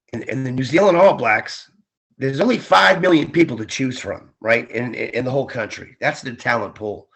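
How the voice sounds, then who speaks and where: At a moderate pace, this is an ordinary speaking voice with ordinary pitch variation. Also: man. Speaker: ring announcer; former Marine and radio DJ. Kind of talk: interview answer. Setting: remote call, video/phone interview from Florida.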